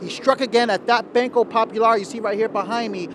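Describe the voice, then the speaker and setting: Noticeable background noise runs behind this recording. A man speaks at a fairly quick pace in a high pitch. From New York City. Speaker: television news reporter. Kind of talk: TV news report. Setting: outdoors.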